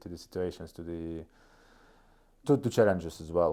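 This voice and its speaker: In a Russian accent, a man speaks with a very deep, low pitch and ordinary pitch variation. His tone is dark and mellow, at a moderate pace. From northeast Estonia, Russian-speaking region. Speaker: startup COO. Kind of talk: interview podcast. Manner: halting, frequent repetitions.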